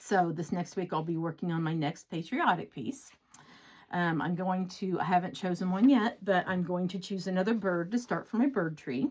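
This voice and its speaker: Here is a woman with a plain, everyday voice. Her pitch sits fairly low and varies in an ordinary way. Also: moderate pace. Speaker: cross-stitch vlogger and pattern designer. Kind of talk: casual chat. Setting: home craft room.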